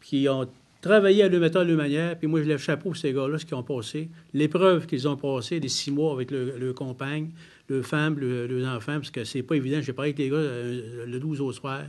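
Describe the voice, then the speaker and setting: A man's fairly high voice at a fairly quick pace, with ordinary pitch variation, in a quiet background. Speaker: member of parliament. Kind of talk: press conference Q&A. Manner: direct, plain-spoken.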